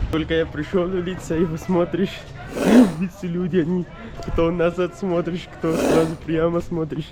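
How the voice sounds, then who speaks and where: Over noticeable background noise, a man with a high voice speaks in a flat monotone, leaving long, frequent pauses. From Pakistan. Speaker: travel vlogger. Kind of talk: travel vlog. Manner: halting, non-native phrasing.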